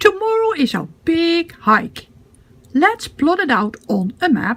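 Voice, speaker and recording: In a cartoonish character voice, a woman speaks fairly slowly at an extremely high pitch with very wide pitch swings. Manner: encouraging.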